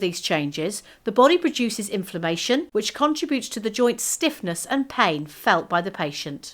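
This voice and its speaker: A British-accented woman at a moderate pace, fairly high in pitch with very wide pitch swings, on a very clean recording with a silent background. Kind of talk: corporate explainer narration.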